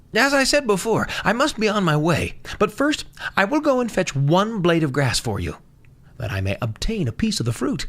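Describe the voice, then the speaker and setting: In a shaky, put-on character voice at middle pitch, the speaker moves at a moderate pace on a very clean recording with a silent background. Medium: read story. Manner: nervous, shaky.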